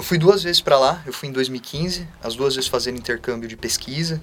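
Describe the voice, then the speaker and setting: A man talks fairly quickly at a medium pitch, with noticeable background noise around him. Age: 20s. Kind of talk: casual interview.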